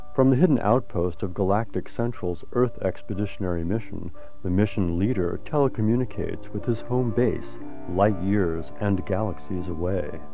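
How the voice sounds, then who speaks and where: Faint music plays in the background as a man speaks at a fairly low pitch and a moderate pace, in a dry sound with no echo. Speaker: radio drama announcer. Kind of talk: radio play introduction. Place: studio.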